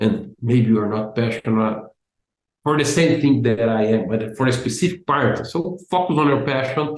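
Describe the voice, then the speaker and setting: A man speaks with a Brazilian accent. His intonation is lively. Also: medium pitch for a man, moderate pace. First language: Portuguese. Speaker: business analysis expert and content creator. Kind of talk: interview. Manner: halting, many repeated words.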